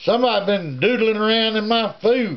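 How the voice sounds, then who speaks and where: This man uses a put-on character voice. He pitches it high. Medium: read story.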